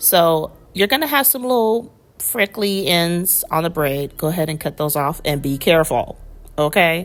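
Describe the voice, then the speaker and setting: In a plain, everyday voice, a woman with a fairly low pitch speaks at a moderate pace with lively intonation. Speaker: hair tutorial youtuber. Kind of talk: tutorial. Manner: casual and chatty.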